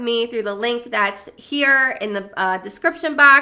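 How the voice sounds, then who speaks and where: A woman with a high pitch speaks at a fairly slow pace in an animated, bright, sharp tone. The recording is very clean, and the background is silent. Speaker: life coach. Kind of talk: self-help talk to camera.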